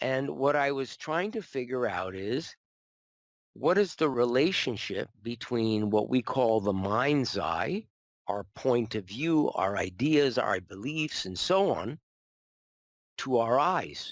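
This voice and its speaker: Very slow speech with very wide pitch swings, on a very clean recording with a silent background. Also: man, medium pitch for a man. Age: 70s. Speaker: optometrist. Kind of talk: interview testimony.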